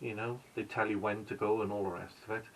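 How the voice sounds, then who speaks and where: A man with a Welsh accent and a bright, sharp tone. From Wales. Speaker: vlogger. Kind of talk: casual vlog narration. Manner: hesitant, with fillers.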